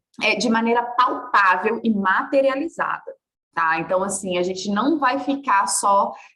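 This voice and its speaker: The woman's pitch sits fairly high, with ordinary variation. She talks at a fairly slow pace amid audible room echo. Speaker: body work mentor. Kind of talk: online workshop lecture. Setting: live video call. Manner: animated.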